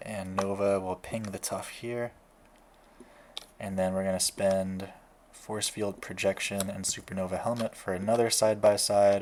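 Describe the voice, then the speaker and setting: Quiet and monotone, a man talks at a moderate pace in a fairly low pitch with flat intonation. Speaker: card game content creator. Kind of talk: gameplay commentary.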